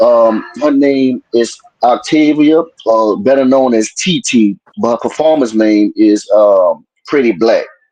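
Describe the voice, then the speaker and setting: In a New Orleans accent, a man speaks fairly slowly at a medium pitch with ordinary pitch variation and very even loudness. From New Orleans, Louisiana. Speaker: music producer. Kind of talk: interview.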